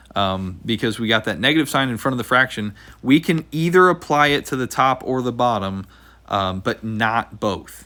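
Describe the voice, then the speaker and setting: A man with a bright, sharp tone speaks at medium pitch with lively intonation. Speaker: math teacher. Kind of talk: tutorial. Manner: fast.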